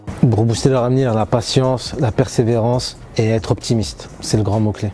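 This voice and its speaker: Over noticeable background noise, a man speaks at a medium pitch and a moderate pace, with fairly even intonation and very even loudness. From Paris region, France. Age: 30s. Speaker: railway traffic agent. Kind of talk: interview testimony. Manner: hesitant, many fillers.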